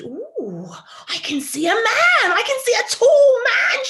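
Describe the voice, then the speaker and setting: Cackling in a put-on character voice at an extremely high pitch, a woman speaks at a fairly slow pace while sound effects play in the background. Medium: read story. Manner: cackling, repetitive.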